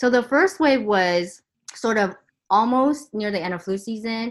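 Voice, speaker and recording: Lively in intonation, a woman with a Californian accent is heard on a very clean recording with a silent background. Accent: Californian American. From Southern California. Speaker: emergency physician. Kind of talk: interview.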